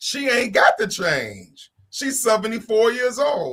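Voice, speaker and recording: A man with an American accent speaks in a raised, projected voice with a bright, sharp tone. His pace is fairly slow. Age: 50s. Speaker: panelist on a talk show. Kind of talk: casual panel discussion.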